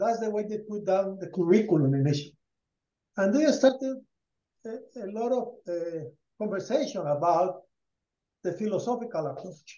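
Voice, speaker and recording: Speaking with a Spanish accent at a moderate pace, a man with a high pitch leaves long, frequent pauses amid audible room echo. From Colombia. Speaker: rural education program founder; guest. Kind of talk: presentation. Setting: video call. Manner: halting. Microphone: headset.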